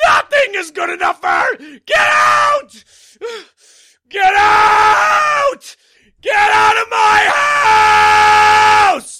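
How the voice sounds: Putting on a character voice, a man shouts in an extremely high pitch at a very slow pace, with long, frequent pauses.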